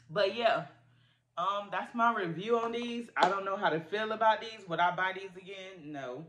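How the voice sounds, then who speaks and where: The speaker is a woman with lively intonation. She keeps to a fairly slow pace. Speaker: food reviewer vlogger. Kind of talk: casual vlog chat. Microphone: phone near.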